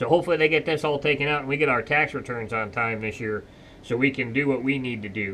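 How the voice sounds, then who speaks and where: Behind him is a light layer of background noise. The man delivers his words very fast. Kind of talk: casual vlog chat. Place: workshop. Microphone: camera far.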